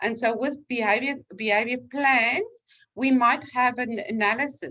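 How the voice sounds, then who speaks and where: Speaking with a South African accent, a woman has a bright, sharp tone, ordinary pitch variation and a fairly slow pace. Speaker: vocational trainer. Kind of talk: lecture. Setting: online class. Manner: conversational.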